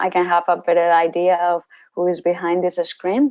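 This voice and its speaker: Speaking with a Spanish accent, a woman keeps a fairly slow pace and a fairly low pitch. The recording is very clean, with a silent background. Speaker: university researcher. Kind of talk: lecture. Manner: halting.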